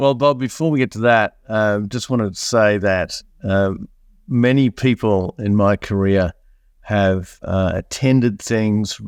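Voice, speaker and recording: On a very clean recording with a silent background and a dry, close sound with no echo, a man with an Australian accent speaks at a fairly slow pace and a fairly low pitch, with ordinary pitch variation. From Australia, country New South Wales. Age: 50s. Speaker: entrepreneur. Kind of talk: podcast interview.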